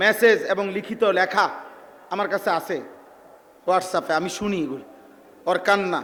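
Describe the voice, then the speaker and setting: Intonation remains fairly even throughout. The man's voice is high-pitched. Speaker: Islamic preacher. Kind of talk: religious sermon. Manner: emotional, impassioned.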